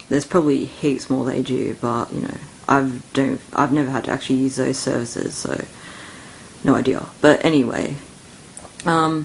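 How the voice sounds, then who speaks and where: Mumbled speech in an Australian accent at a moderate pace, with long, frequent pauses and noticeable background noise. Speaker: vlogger. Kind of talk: casual rant. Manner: mumbling.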